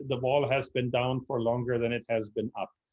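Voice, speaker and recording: A man speaks with a German accent. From Germany (Berlin). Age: 60s. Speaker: club member presenter on history. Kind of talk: Q&A answer after a history presentation. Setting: video call. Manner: halting, many fillers.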